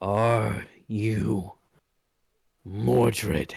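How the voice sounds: A man does a growling, put-on character voice at a fairly low pitch.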